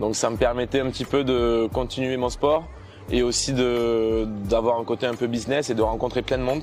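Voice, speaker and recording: A man speaks at a moderate pace in a medium pitch with monotone, flat intonation over noticeable background noise. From southern France, Toulouse area. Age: 20s. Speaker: student entrepreneur, former kitesurf champion. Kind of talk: interview. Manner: hesitant with frequent filler sounds.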